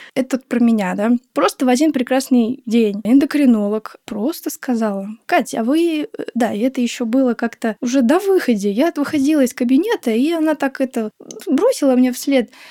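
A woman speaks in a high voice with a dark, mellow tone and ordinary pitch variation. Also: moderate pace, very even loudness. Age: 20s. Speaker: guest sharing fertility journey. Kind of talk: casual chat.

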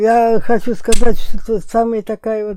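Recorded very cleanly against a silent background, a woman speaks in a dark, mellow tone. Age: 80s+. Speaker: grandmother of the host. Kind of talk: casual chat.

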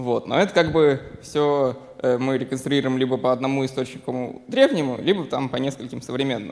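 The intonation stays fairly even as a man talks. His voice is medium in pitch, and his speed is moderate. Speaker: audience member asking question. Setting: stage with audience. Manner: halting.

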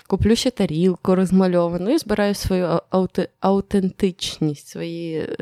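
A woman's medium-pitched voice, dark and mellow, with ordinary pitch variation, a very slow pace and a dry, close sound with no echo. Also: very clean recording, silent background. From Ukraine. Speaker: podcast editor and co-host. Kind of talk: casual chat.

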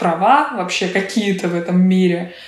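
A woman talks at a fairly slow pace in a fairly low voice. Noticeable background noise runs behind her. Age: 20s. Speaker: actress and blogger. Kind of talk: interview.

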